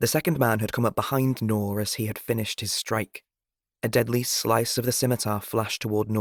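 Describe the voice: The speaker is plainly reading aloud with fairly even intonation. The background is quiet.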